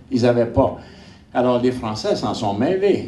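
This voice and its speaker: Audible room echo surrounds a man's voice. He speaks at a medium pitch with lively intonation. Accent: Quebec. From Quebec, Montreal (Saint-Henri). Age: 80s+. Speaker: geographer and army veteran lecturer. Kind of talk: lecture. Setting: conference with audience. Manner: animated.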